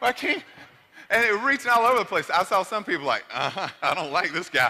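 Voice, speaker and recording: With an American accent, a man talks at a fairly quick pace in a raised, projected voice of extremely high pitch, his pitch swinging very widely over noticeable background noise. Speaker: motivational speaker. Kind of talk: motivational speech. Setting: stage with audience. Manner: animated; loud.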